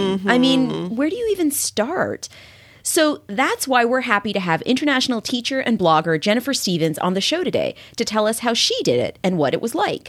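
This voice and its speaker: A woman talks at a fairly quick pace in a fairly high pitch. Her voice moves through very wide pitch swings. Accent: Canadian. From Canada. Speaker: physician podcast host. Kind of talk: scripted narration; casual chat.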